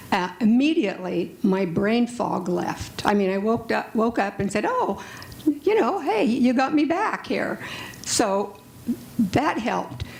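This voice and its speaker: Noticeable background noise sits behind a woman speaking at a moderate pace. Her fairly high voice has lively intonation. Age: 70s. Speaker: patient asking a question. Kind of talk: audience question at panel.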